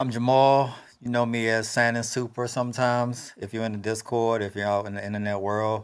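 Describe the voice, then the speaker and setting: Speaking in a Maryland accent, a man with a medium-pitched voice talks at a fairly quick pace in a monotone, flat intonation, on a very clean recording with a silent background. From Maryland, PG County. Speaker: trading instructor. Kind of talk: podcast introduction.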